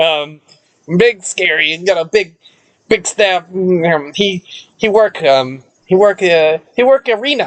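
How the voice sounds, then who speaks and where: A put-on character voice at a middle pitch. Long pauses come often. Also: fairly slow pace. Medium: actual play. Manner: broken, simple pidgin speech.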